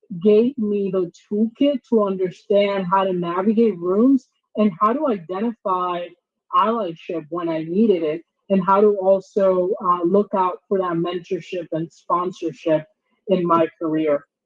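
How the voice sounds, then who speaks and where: In a Spanish accent, a woman speaks fairly slowly at a medium pitch with ordinary pitch variation. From Dominican Republic, then St. Louis, Missouri. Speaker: diversity trainer and company founder. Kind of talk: workshop presentation.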